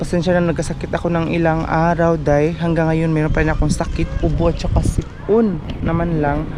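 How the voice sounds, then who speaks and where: With hardly any pauses and a fairly quick pace, a woman speaks in a fairly low, monotone, flat voice amid audible room echo and noticeable background noise. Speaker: vlogger. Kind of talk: casual vlog. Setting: outdoors at a market. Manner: weak, low energy.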